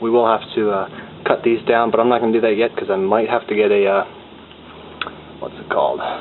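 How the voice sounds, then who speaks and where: Amid noticeable background noise, a man with a medium pitch talks at a very fast pace in a monotone, flat delivery broken by long, frequent pauses. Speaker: home car mechanic. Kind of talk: casual how-to talk to camera.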